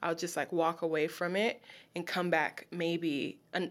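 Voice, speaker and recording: A woman speaks at medium pitch in a plain, everyday voice at a moderate pace. The recording is very clean, with a silent background. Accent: American. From Los Angeles, US. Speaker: poet and creative writing teacher. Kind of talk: casual interview.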